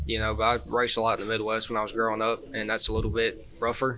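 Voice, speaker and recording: With a Southern US accent, a man of medium pitch talks at a very fast pace over noticeable background noise. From Georgia, US South. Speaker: kart racer and pipe welder. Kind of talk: casual chat. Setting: live show at a race event with audience.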